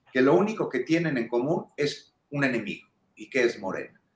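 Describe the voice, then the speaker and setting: Audible echo surrounds a man talking at a fairly quick pace with lively intonation. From Mexico. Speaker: political commentator. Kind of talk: panel discussion. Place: home room. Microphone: video call.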